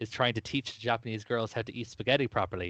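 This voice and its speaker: A man's medium-pitched voice with an Irish accent. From Ireland. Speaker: podcast host. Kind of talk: casual chat.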